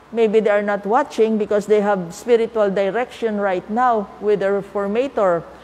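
A woman's voice with fairly even intonation. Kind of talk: spiritual talk. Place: church. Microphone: lapel.

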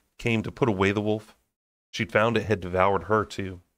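A man with a fairly low pitch and an unremarkable speaking voice, on a very clean recording against a silent background. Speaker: audiobook reader and book-club channel host. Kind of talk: dramatic narration of a fantasy novel, brooding and intense. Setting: home recording, raw unedited audio. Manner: casual, chatty and laughing in between-chapter banter.

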